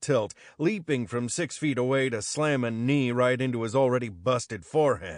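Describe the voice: A text read out plainly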